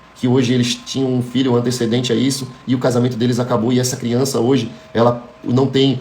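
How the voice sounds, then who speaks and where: A man talks very fast at medium pitch in a monotone, flat delivery. Audible room echo and noticeable background noise fill the recording. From Florianópolis, Brazil. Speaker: motivational speaker. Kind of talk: motivational talk.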